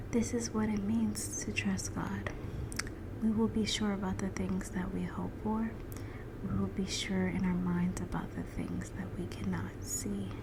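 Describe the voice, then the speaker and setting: Over noticeable background noise, a woman speaks at a fairly slow pace in a soothing tone. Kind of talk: Bible reading ASMR. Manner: soft-spoken, soothing.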